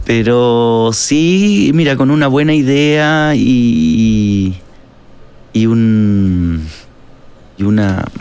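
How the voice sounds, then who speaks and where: Over noticeable background noise, a man with a Chilean accent speaks at a medium pitch with lively intonation. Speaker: actor and musician. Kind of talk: casual interview chat. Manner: halting, many fillers and repetitions.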